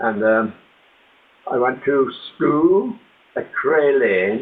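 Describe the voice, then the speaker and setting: A man speaks with a Limerick accent. His pitch swings very widely. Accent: Irish (Limerick). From Ireland, Limerick. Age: 80s+. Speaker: author and ex-soldier. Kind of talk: interview storytelling.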